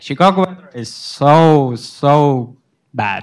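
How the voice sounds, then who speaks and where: In a very clean recording with a silent background, a man speaks in a fairly high voice with ordinary pitch variation. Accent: Afghan. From Afghanistan. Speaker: international student. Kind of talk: panel discussion. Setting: library event with audience. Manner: halting.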